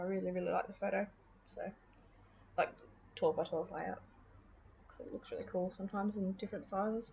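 A woman with an Australian accent speaks very fast at a medium pitch, somewhat breathy and with monotone, flat intonation, leaving long, frequent pauses. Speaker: scrapbooking video creator. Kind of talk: crafting process voiceover. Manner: casual, hesitant with many fillers.

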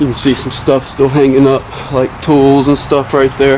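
A man speaks over noticeable background noise. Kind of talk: casual vlog commentary. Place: open country. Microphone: camera far.

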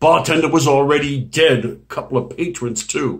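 A man speaks with a somewhat breathy voice. The background is quiet. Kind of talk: acted dramatic monologue. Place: home room. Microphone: webcam.

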